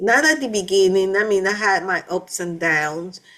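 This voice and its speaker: In a very clean recording with a silent background, a woman speaks with a Panamanian accent. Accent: Panamanian Spanish accent, still noticeable. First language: Spanish. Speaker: vlogger. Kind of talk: personal testimony. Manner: halting, many fillers and restarts.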